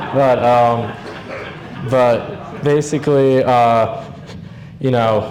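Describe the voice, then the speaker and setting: Against noticeable background noise and audible room echo, a man talks at a very slow pace with fairly even intonation. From New Jersey. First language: Hungarian. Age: 20s. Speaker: grandson giving eulogy. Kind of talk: eulogy. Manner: halting, many fillers; unscripted.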